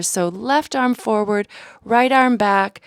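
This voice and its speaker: Soft-spoken and calm in tone, a woman talks at a very slow pace and a fairly high pitch with ordinary pitch variation, in a dry, close sound with no echo. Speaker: yoga instructor. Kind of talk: guided yoga class instruction, audio only. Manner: clear, soft-spoken, calm.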